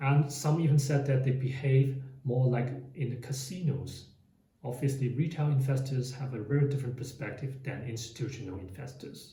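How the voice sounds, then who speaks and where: In a room with audible echo, a man speaks at a moderate pace with a medium pitch, a dark, mellow, somewhat breathy tone and fairly even intonation. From Hong Kong. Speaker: finance YouTuber. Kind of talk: explainer monologue.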